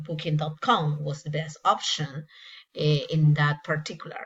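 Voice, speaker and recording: A woman's very deep, low-pitched, somewhat breathy voice with a Spanish accent, at a fairly slow pace. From Peru. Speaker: English teacher. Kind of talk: casual travel vlog narration. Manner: hesitant with many fillers.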